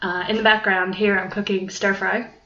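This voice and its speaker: Moderate-paced talk in a medium-pitched woman's voice, with noticeable background noise behind it. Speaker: podcaster and university student. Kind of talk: casual monologue. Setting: at home. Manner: rambling, many filler ums.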